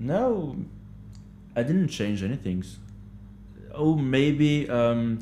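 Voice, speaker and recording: A man with a French accent at a very slow pace, dark and mellow in tone, with ordinary pitch variation. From France. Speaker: hostel manager, language learner. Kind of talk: interview, casual chat. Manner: halting, searching for words.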